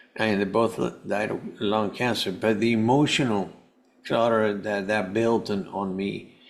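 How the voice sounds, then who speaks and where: A man's fairly low, monotone voice in a Spanish accent, flat in intonation and at a moderate pace. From Venezuela. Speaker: health coach and cancer survivor. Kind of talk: podcast interview. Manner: halting, many false starts.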